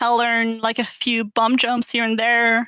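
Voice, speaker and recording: A woman speaks fairly quickly in a French accent, her high-pitched voice bright and sharp. The sound is dry and close, with no echo. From Quebec, Canada. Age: 20s. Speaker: gamer. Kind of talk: podcast interview.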